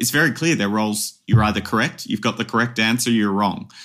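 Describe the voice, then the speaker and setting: A man with an Australian accent speaks at a medium pitch. The recording is very clean, with a silent background. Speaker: advertising strategist and academy founder. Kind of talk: interview. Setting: podcast.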